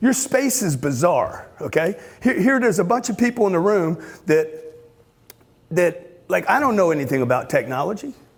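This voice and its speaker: In a Louisiana accent, a man talks at a moderate pace with an animated tone, very wide pitch swings and very even loudness. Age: 60s. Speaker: motivational speaker. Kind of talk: motivational talk.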